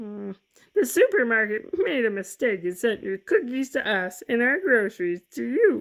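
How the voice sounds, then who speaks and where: This female-sounding put-on character voice sits at a fairly high pitch. It moves at a moderate pace. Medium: read story.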